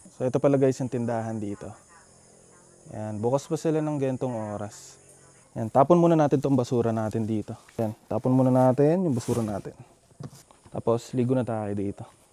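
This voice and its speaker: Moving at a fairly quick pace, a man of medium pitch uses ordinary pitch variation and leaves long, frequent pauses. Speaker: motovlogger. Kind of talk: casual vlog narration. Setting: outdoors at a campsite. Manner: softer voice to not wake others.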